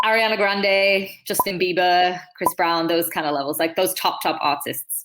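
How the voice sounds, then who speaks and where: A woman talks with fairly even intonation and hardly any pauses. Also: medium pitch for a woman, moderate pace. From Manchester, England. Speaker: dancer and choreographer. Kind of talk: interview answer.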